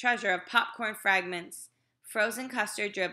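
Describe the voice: The plain reading aloud has ordinary pitch variation over a quiet background.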